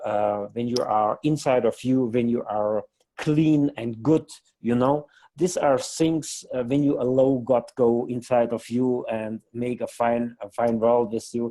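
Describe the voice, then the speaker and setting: With a non-native accent, a man speaks at a fairly slow pace. His tone is dark and mellow, at a medium pitch. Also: fairly even intonation. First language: not English. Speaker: company co-founder. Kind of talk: interview. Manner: halting.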